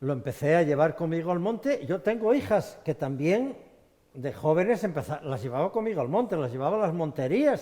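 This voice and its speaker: A man's high, dark and mellow voice at a fairly quick pace, with very wide pitch swings. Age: 60s. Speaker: hunter. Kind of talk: studio discussion. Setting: studio.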